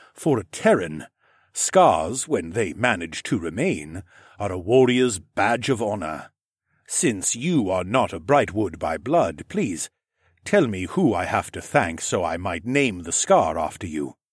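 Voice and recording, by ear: On a very clean recording with a silent background, a man does a put-on character voice that is low, rumbling and slightly husky, with big pitch swings at a fairly slow pace.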